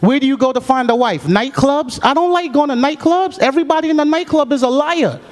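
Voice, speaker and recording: Speech comes at a fairly quick pace with ordinary pitch variation. Background noise is noticeable. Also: man. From Jamaica. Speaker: stand-up comedian. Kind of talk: stand-up comedy routine. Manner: smooth, quick-witted.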